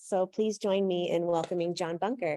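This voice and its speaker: This woman's medium-pitched voice has a dark, mellow tone, recorded with a dry, close sound and no echo. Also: quiet background. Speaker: event host. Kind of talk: speaker introduction. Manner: loud, projecting without microphone. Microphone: no microphone.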